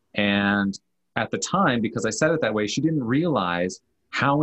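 Moderate pace and ordinary pitch variation. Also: man. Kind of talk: casual chat. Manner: even, calm tone; unemotional delivery.

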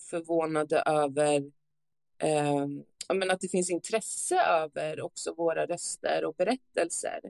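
A woman at a very slow pace, the sound dry and close with no echo. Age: 30s. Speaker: advocate with lived experience of youth care homes. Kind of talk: interview testimony.

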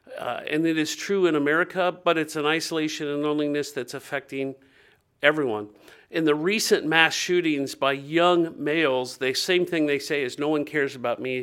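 In a very clean recording with a silent background, a man with a US Midwestern accent talks at a fairly quick pace with a fairly high pitch and ordinary pitch variation. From Ohio, US Midwest. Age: 50s. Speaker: nonprofit director and minister. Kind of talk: interview.

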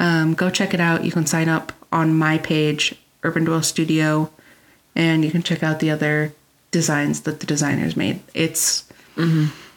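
A woman speaks in a very deep, low voice at a moderate pace, monotone and flat with very even loudness. Noticeable background noise is present. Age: 30s. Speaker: quilting podcast co-host. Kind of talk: casual chat.

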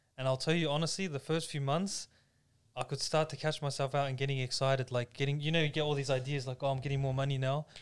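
The voice moves at a very fast pace with an Australian accent. Its intonation is monotone and flat. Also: man, fairly high pitch for a man. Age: 20s. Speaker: podcast co-host. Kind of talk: casual chat.

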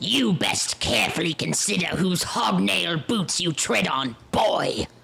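A man puts on a character voice at a fairly high pitch and speaks fairly slowly. Background noise is clear. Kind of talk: archaic, formal. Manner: menacing, intimidating.

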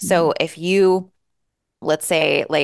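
A woman's voice with a dry, close sound with no echo, against a quiet background. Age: 40s. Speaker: business coach. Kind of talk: interview. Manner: animated.

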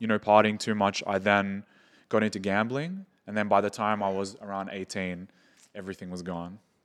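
A man speaks at a moderate pace in an Australian accent, his pitch fairly low. The recording is very clean, with a silent background. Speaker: entrepreneur and music manager. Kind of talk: casual chat.

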